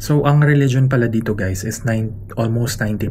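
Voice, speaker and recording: A soft-spoken man talks at medium pitch with ordinary pitch variation. Audible room echo and noticeable background noise are present. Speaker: travel vlogger. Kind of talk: casual vlog narration. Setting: hotel room.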